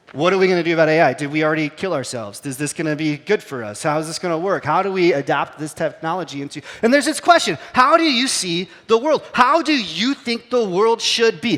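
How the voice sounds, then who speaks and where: A man talks at a very fast pace in a high pitch, his tone animated and his pitch swinging very widely. Noticeable background noise runs underneath. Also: hardly any pauses. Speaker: pastor. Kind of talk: sermon. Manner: casual, animated.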